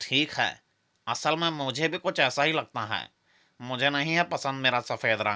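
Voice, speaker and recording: On a very clean recording with a silent background, a man performs a cartoonish character voice at a fairly high pitch and a moderate pace. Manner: unsure, easily swayed.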